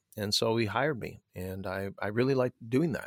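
The recording is very clean, with a silent background and a dry, close sound with no echo. A man speaks at a fairly low pitch with ordinary pitch variation. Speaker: performance mindset coach and author. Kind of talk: interview.

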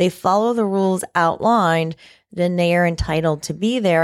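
On a very clean recording with a silent background, a woman speaks in an ordinary speaking voice. Her pitch is fairly low, with ordinary variation. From Florida, Martin County (Indiantown). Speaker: county commissioner. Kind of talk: interview.

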